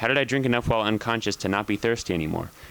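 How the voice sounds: The speaker uses a natural reading voice, and the pitch varies in an ordinary way.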